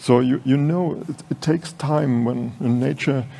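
Speaking with a German accent, a man moves at a very slow pace. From Germany. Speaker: design director moderating a talk; conference speaker, panelist. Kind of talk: stage moderation. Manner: halting. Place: hall. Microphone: podium.

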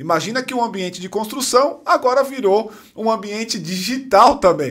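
Against a quiet background, a man talks at a fairly quick pace. His pitch is high and his intonation lively. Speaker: podcast host. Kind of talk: casual interview. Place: studio. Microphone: studio mic.

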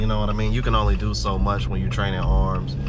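Loud background noise surrounds the recording. A man's voice comes through dry with no echo. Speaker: vlogger. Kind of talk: casual vlog chat. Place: car.

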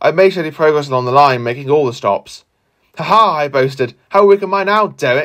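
A man's fairly high voice has an animated, gentle tone and lively intonation at a fairly quick pace. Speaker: storyteller narrating a model railway tale. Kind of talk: children's story narration with character voices. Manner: animated, voicing characters with gruff anger and gentle warmth.

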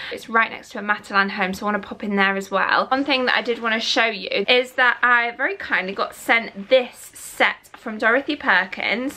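In a northern English accent, a woman with a fairly high pitch and ordinary pitch variation talks at a moderate pace with hardly any pauses. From northern England, near Manchester. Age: 20s. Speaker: lifestyle vlogger. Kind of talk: vlog narration. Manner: chatty, casual. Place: home room. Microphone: phone near.

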